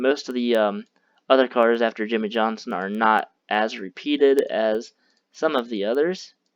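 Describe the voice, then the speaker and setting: The pace is moderate. The background is quiet. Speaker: sim racing video creator. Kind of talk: casual screen-recorded commentary.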